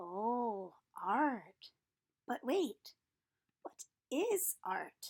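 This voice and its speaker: A woman uses a put-on character voice pitched high. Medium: read story.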